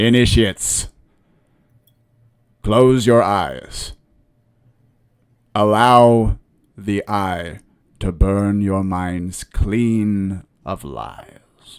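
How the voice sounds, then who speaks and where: In a booming, put-on character voice, a man speaks at a fairly low pitch and a very slow pace with long, frequent pauses, on a very clean recording with a silent background. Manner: commanding, ceremonial.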